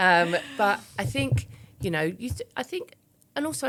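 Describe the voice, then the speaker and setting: A woman talks in an East London accent. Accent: East End London, somewhat refined. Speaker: businesswoman and public speaker. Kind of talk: podcast interview. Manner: conversational, uses many fillers.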